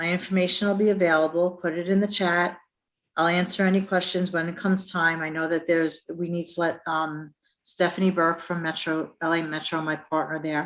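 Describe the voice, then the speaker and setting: A woman with a New York accent, fairly low-pitched, monotone and flat, at a fairly quick pace. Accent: New York accent, noticeable. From Brooklyn, New York. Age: 50s. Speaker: transit agency representative. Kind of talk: career presentation.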